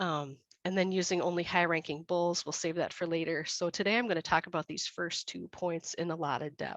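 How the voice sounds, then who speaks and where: A woman talks at a fairly quick pace with hardly any pauses in a plain, everyday voice. Her pitch is fairly low, her intonation fairly even, and the sound dry and close with no echo. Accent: American. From USA. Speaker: dairy breeding consultant. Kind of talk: webinar presentation. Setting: online webinar.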